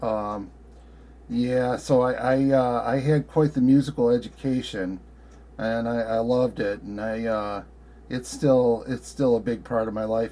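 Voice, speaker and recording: At a fairly slow pace, a man speaks with a medium pitch, a dark, mellow tone and fairly even intonation. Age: 60s. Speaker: ham radio operator. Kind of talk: casual chat. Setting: ham radio contact. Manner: halting, many fillers.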